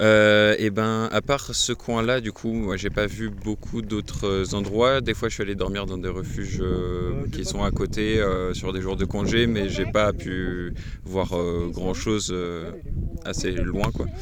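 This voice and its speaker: In a room with audible echo and noticeable background noise, a man with a fairly low pitch speaks at a very slow pace in a monotone, flat intonation. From Brittany, France. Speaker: mountain hut worker. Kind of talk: casual interview. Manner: hesitant, many fillers.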